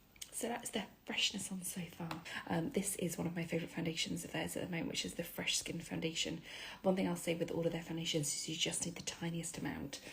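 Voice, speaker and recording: A quiet woman's voice at a very fast pace. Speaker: beauty influencer. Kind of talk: makeup tutorial. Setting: at home. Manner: chatty.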